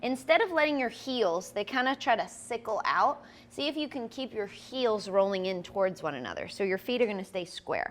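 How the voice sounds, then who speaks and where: With lively intonation, a woman speaks at a fairly quick pace in a fairly high pitch. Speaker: yoga instructor. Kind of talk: yoga class instruction.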